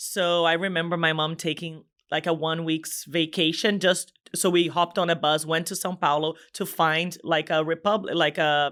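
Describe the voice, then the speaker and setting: A woman speaks with a Brazilian Portuguese accent at a moderate pace. Her pitch is fairly low and her intonation monotone and flat. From Brazil, Espírito Santo. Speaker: business executive. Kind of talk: podcast interview.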